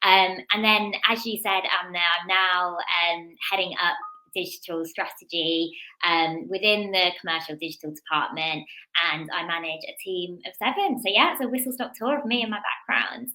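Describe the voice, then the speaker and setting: In a Birmingham accent, a woman with a bright, sharp tone speaks at medium pitch and a moderate pace with ordinary pitch variation. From English Midlands, Birmingham. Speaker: business executive. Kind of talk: podcast interview.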